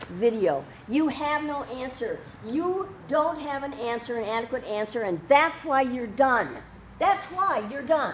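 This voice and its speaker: Amid noticeable background noise and audible room echo, a woman speaks loudly at a fairly slow pace with a high pitch and very wide pitch swings. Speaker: citizen journalist and protester. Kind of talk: heated confrontation. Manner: animated.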